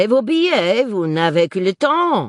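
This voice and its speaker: Using a put-on character voice, a woman speaks at a medium pitch and a moderate pace. Her pitch swings very widely, and the sound is dry and close with no echo. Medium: read story. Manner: brisk, hurried.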